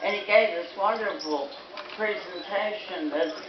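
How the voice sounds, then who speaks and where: A woman at a very slow pace, with audible room echo and noticeable background noise. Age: 80s+. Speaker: elderly island resident speaking at an event. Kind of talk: speech to a gathering. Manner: halting.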